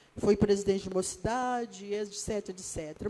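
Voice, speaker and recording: In a Rio de Janeiro accent, the voice carries a dark, mellow tone with ordinary pitch variation. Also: woman. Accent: Rio de Janeiro (carioca). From Brazil, Rio de Janeiro. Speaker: pastor. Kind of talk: sermon.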